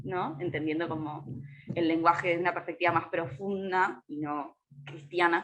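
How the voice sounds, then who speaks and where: In an ordinary speaking voice, a woman talks at a fairly slow pace with a fairly low pitch and fairly even intonation. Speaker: astrologer and ecofeminist activist. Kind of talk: casual chat.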